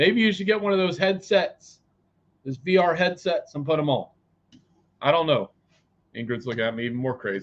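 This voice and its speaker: A loud man shouts at a fairly quick pace in a high pitch, his pitch swinging very widely. He leaves long, frequent pauses. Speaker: psychic tarot reader. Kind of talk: live tarot reading. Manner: loud, yelling; animated.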